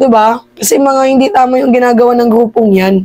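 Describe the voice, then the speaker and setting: This woman has a high pitch and a dark, mellow tone. She talks at a fairly slow pace with ordinary pitch variation. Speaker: political commentary vlogger. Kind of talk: casual commentary.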